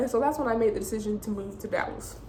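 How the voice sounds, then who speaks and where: A woman talks at a fairly quick pace in a high pitch, with audible room echo and noticeable background noise. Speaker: vlogger. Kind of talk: personal story vlog. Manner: fast.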